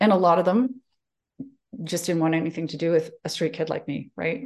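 In a Western Canadian accent, a woman talks at a moderate pace with a fairly low pitch. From Calgary, Canada. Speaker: executive presence coach. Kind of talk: interview.

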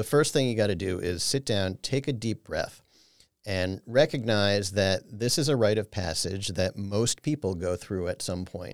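A man with an unremarkable speaking voice, fairly low in pitch, talks at a moderate pace with ordinary pitch variation in a very clean recording with a silent background and a dry, close sound with no echo. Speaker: financial advisor. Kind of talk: educational interview.

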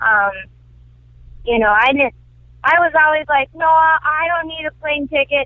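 With an American accent, a woman speaks using lively intonation. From US Midwest (Wisconsin). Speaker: comedian. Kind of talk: interview.

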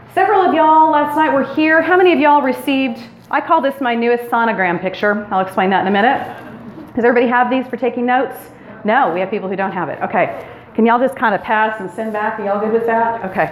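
A loud, energetic woman with a high pitch and lively intonation at a very fast pace, amid noticeable background noise and audible room echo. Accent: American. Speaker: women's retreat speaker. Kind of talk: sermon-style talk to a women's retreat. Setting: stage with audience and PA system.

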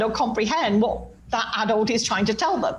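A woman with an English accent talks at a moderate pace. There is noticeable background noise and an audible room echo. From England. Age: 60s. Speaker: clairvoyant medium. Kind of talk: casual chat.

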